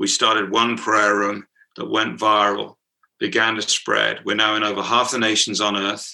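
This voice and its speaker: In a British accent, a man with a fairly low, bright and sharp voice with vocal fry speaks monotonously and flatly at a moderate pace. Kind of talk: interview, casual. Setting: video call.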